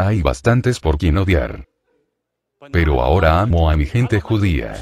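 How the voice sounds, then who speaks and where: A man speaks at a moderate pace with a very deep, low pitch. The sound is dry with no echo, over light background noise. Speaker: preacher. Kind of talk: fiery sermon with testimony, confronting the congregation. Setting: church, live preaching. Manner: intense, forceful, dramatic, animated storytelling. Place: church. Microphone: handheld.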